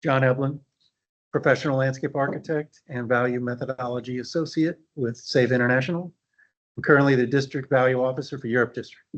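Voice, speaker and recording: Speaking in an American accent, a man rushes along at a very fast pace in a monotone, flat intonation. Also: medium pitch for a man. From US South, New Orleans, Louisiana. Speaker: value engineering officer, landscape architect. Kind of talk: conference presentation. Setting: meeting room with audience and online attendees.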